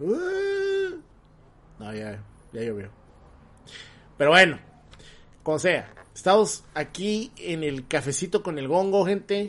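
Loudness swings widely as a man talks very slowly, stopping often for long pauses. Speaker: podcast host. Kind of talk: casual chat. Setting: live stream.

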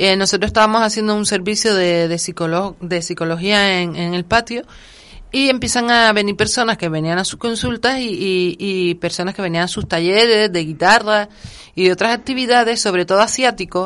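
A woman with a plain, everyday voice, medium pitch, ordinary pitch variation and a moderate pace, over a quiet background. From Gran Canaria. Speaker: cultural association coordinator. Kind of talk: interview.

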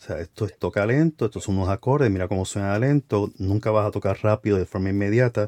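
Here a man with a fairly low pitch and a dark, mellow tone talks at a very fast pace with ordinary pitch variation. The sound is dry and close with no echo, over a quiet background. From Americas, across the Atlantic from Spain. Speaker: podcast host. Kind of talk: casual interview. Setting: home closet studio.

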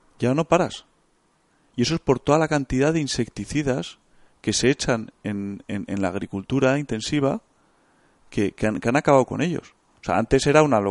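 Speech at a moderate pace with long, frequent pauses comes through a dry, close sound with no echo and a quiet background. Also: man, medium pitch for a man, lively intonation. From Spain, Bilbao (Basque Country). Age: 30s. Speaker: hunter and engineer. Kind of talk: casual interview.

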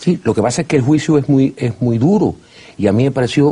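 A man with a plain, everyday voice and lively intonation, at a moderate pace. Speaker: TV host. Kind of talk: TV interview. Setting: studio.

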